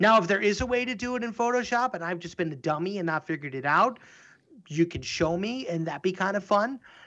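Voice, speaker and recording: A man talks at a very fast pace in a high pitch, his tone bright and sharp and his intonation lively. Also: quiet background. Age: 30s. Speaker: animation studio co-founder and podcast co-host. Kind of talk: casual chat.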